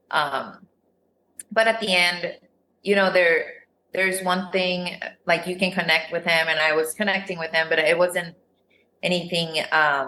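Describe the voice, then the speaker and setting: In a Spanish accent, a woman speaks at a fairly slow pace with long, frequent pauses, her fairly low voice bright and sharp in tone and her intonation flat and monotone. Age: 30s. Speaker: reality TV contestant. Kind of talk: casual chat.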